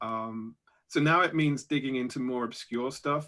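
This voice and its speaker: Recorded very cleanly over a silent background, a man with a British accent and a bright, sharp tone speaks at medium pitch and a moderate pace with fairly even intonation. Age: 40s. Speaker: science fiction author. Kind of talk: panel discussion.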